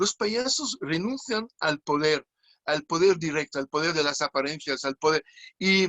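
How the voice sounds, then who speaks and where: A man with a fairly high voice talks fairly slowly, his intonation lively. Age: 60s. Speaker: clown. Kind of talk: interview. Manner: halting.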